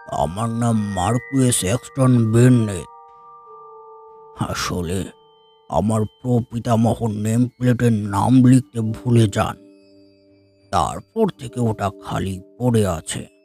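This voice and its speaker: In a put-on character voice, a man growls out a raspy, sinister tone at a very slow pace and a medium pitch. The sound is dry and close with no echo, with faint music in the background. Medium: audio drama. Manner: slow, polite, quietly sinister.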